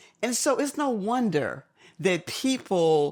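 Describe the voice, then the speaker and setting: Very wide pitch swings mark a woman's voice on a very clean recording with a silent background. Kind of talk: conversation about aging.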